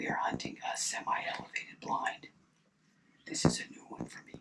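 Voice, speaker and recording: A man whispers at a fairly quick pace. Noticeable background noise runs underneath. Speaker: hunting video creator. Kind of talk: scripted narration. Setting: outdoors in a hunting blind. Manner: soft-spoken.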